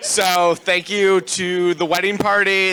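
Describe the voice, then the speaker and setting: A man talks loudly. His tone is bright and sharp. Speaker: groom. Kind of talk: wedding speech. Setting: wedding reception.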